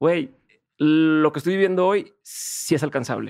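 A man's voice, fairly high in pitch. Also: quiet background. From Mexico. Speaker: podcast host. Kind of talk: interview. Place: studio. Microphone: studio mic.

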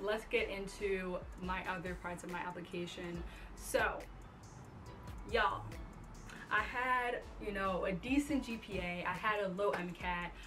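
The speech moves at a fairly slow pace, broken by long, frequent pauses, with ordinary pitch variation. Clear music plays in the background. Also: woman. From Long Island, New York. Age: 20s. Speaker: incoming medical student and online fitness coach. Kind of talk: casual talk to camera. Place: home room.

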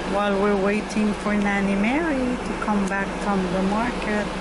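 Loud background noise surrounds a woman who speaks at a very slow pace. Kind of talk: casual vlog chat. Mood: cheerful and relaxed. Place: car. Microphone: phone near.

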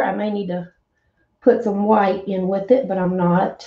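A woman speaks in a Southern US accent at a fairly slow pace. Audible room echo surrounds her voice. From US South. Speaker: craft painter and online seller. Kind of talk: casual live-stream chat while painting. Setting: live stream, wearing earbuds. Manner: friendly, chatty, animated. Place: home room.

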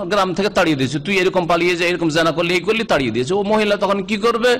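Amid noticeable background noise, a man's high voice moves with lively intonation. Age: 50s. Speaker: Islamic preacher. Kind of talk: religious lecture.

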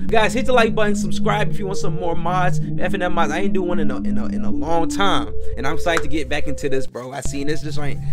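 With music in the background, a man talks very fast. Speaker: gaming YouTuber. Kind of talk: casual vlog chat. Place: home room. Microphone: headset.

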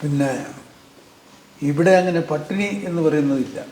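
A man with a fairly high pitch speaks in fairly even intonation against noticeable background noise. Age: 80s+. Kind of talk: family interview, childhood reminiscence.

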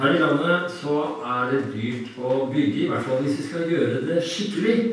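The speaker talks at a very slow pace with ordinary pitch variation. Strong room echo surrounds the voice. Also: man. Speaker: preacher. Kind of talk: sermon. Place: church.

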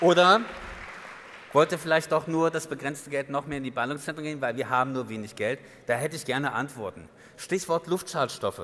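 With crowd noise behind him, a man talks at a fairly quick pace in a fairly high pitch, using ordinary pitch variation and long, frequent pauses. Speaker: advocacy group chair; guest. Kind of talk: guest speech. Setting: stage with audience. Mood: critical, ironic. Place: hall. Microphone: podium.

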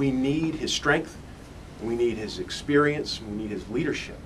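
Noticeable background noise sits under the voice. Its intonation rises and falls in a lively way. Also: man. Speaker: congressman speaker. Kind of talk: rally speech. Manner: emphatic, repeats words.

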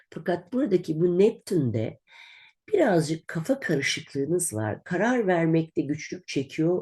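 Very wide pitch swings and vocal fry. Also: woman. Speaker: astrologer. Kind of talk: monthly horoscope reading. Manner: conversational, with hesitations.

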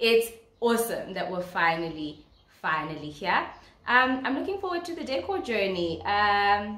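Audible room echo surrounds the voice of a woman. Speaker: vlogger. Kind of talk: casual vlog chat. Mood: excited, cheerful, laughing. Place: home room. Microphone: phone near.

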